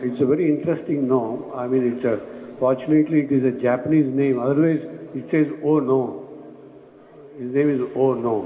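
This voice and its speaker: There's noticeable background noise along with an audible echo from the room. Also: man, medium pitch for a man, ordinary pitch variation. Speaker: construction management speaker. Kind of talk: conference presentation. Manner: fast.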